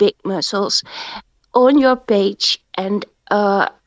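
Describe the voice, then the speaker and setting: A woman with a non-native accent talks at a very slow pace in a fairly high voice with ordinary pitch variation. The sound is dry and close, with no echo. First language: not English. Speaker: crypto community member. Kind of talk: live audio chat discussion. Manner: halting, many fillers.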